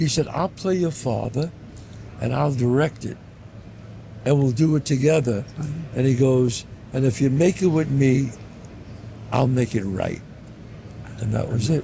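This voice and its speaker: A man with a New York accent speaks at a moderate pace in a somewhat breathy voice of medium pitch, with ordinary pitch variation and long, frequent pauses. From the Bronx, New York. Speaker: actor and writer. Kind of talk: interview answer.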